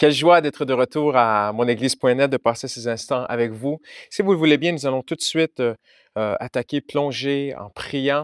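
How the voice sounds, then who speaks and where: A man with a slight Quebec accent talks at a medium pitch with ordinary rise and fall, his voice dry and close with no echo on a very clean recording over a silent background. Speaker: pastor. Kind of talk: sermon.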